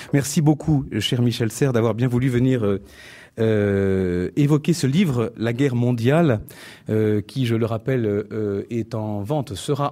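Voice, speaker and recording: A man's dark, mellow voice at a medium pitch and moderate pace, on a very clean recording with a silent background. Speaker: event moderator. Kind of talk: formal introduction. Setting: stage with audience. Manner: formal.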